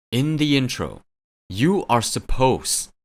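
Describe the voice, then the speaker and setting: A man's medium-pitched voice with vocal fry and lively intonation, very slow in pace, on a very clean recording with a silent background. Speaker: music reaction youtuber. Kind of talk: reaction video commentary. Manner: casual, filler-heavy.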